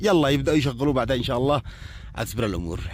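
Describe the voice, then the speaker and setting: In a very clean recording with a silent background, a man with a Yemeni accent speaks at a fairly high pitch. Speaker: poet and video blogger. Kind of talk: casual vlog commentary. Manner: animated.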